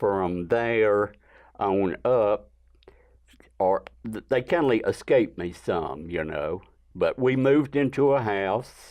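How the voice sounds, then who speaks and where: A man's fairly low voice in an Alabama accent, very slow, with lively intonation, against a quiet background. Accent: Southern US (Alabama). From US South, northwest Alabama. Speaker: artist. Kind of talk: interview, personal life story.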